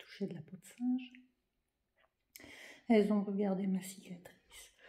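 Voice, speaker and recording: Her voice is somewhat breathy. The woman speaks at a fairly slow pace. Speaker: vlogger. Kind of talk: vlog. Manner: casual, hesitant with fillers.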